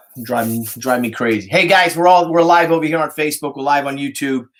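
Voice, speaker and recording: Speaking in an American accent, a man talks at a medium pitch. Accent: Italian New Yorker. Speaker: live streamer. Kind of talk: casual live stream chat. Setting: live stream.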